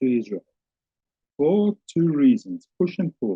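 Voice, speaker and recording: At a moderate pace, a man with a South African accent speaks with very wide pitch swings. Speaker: teacher. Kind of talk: lecture. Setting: webinar video call.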